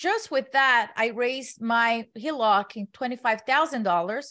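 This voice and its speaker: Against a quiet background, a woman talks at a moderate pace with a fairly high pitch. Hers is an ordinary speaking voice with ordinary pitch variation. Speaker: investor and community founder. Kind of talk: casual interview.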